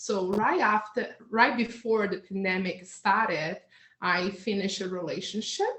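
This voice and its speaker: A woman speaks at a fairly slow pace in a Portuguese accent. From Brazil. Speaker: hypnotherapist. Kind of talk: interview. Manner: halting.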